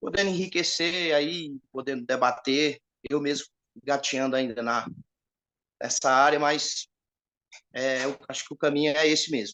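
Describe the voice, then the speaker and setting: Speaking at a fairly slow pace with long, frequent pauses, a man with a fairly high pitch and a bright, sharp tone keeps his intonation fairly even, recorded with a dry, close sound and no echo. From Ceará, Northeast Brazil. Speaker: viewer asking a question. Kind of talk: audience question.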